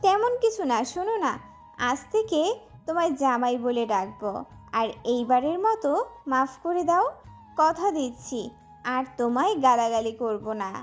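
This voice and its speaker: A put-on, whiny character voice, female-sounding and high-pitched for a woman, at a moderate pace over background music. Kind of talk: sweet-talking, pleading. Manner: coy, whiny, sugary.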